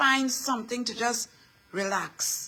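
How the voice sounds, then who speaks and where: A woman with a Trinidadian accent speaks in a high pitch with fairly even intonation, over noticeable background noise. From Trinidad and Tobago. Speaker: inspirational speaker. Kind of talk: motivational talk. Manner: repetitive, emphatic.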